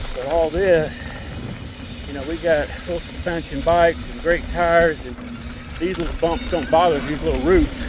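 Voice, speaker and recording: In an American accent, a man talks at a moderate pace with long, frequent pauses and big swings in loudness. The recording has audible room echo and noticeable background noise. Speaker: mountain biker vlogger. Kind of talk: casual narration while riding. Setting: outdoors on bike trail.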